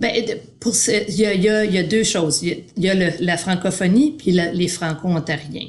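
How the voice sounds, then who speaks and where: A woman's medium-pitched, somewhat breathy voice at a moderate pace, with ordinary pitch variation and very even loudness. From Quebec. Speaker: primary arts teacher. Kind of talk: interview.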